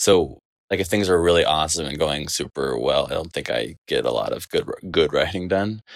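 With an American accent, a man talks at a fairly quick pace on a very clean recording with a silent background. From Texas, Dallas. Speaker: filmmaker. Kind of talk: interview. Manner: halting, many restarts.

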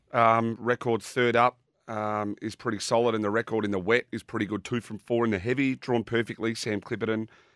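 A man with an Australian accent talks at a fairly quick pace with hardly any pauses, his medium-pitched voice monotone and flat, in a dry, close sound with no echo. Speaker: racing analyst. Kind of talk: racing form analysis and tips.

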